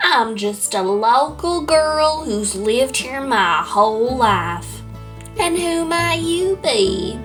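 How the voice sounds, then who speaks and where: A woman's put-on character voice at a fairly slow pace, over clear background noise. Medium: audio drama. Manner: silky, smug, genteel.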